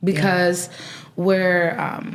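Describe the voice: A woman speaks at a very slow pace with little pitch movement. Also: fairly low pitch for a woman.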